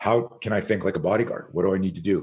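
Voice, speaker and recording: In a very clean recording with a silent background, the speaker uses a Canadian accent, sounds somewhat breathy and talks at a fairly quick pace in an animated tone. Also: man. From Montreal, Canada. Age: 60s. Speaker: self-defense instructor. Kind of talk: podcast interview.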